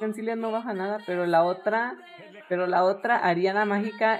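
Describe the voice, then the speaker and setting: A woman's medium-pitched, animated voice at a moderate pace, with ordinary pitch variation and noticeable background noise. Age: 20s. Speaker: streamer. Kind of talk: casual gaming chat.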